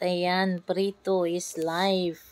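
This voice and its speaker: In a Visayan accent, a woman talks at a medium pitch. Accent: Visayan accent in Tagalog. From Visayas, Philippines. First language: Cebuano/Bisaya (speaking Tagalog). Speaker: vlogger, mother. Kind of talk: casual vlog talk.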